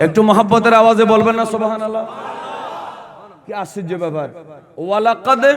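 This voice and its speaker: Loud and animated, a man speaks in a high pitch with ordinary pitch variation, with audible room echo and noticeable background noise around him. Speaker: Islamic preacher. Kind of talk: sermon.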